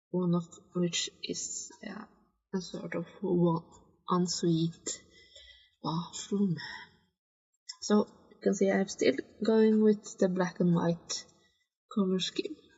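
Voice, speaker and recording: Somewhat breathy and with a non-native accent, a woman at medium pitch talks at a very slow pace with long, frequent pauses. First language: not English. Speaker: gaming video creator. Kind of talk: game commentary. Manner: halting, hesitant; sighs a lot.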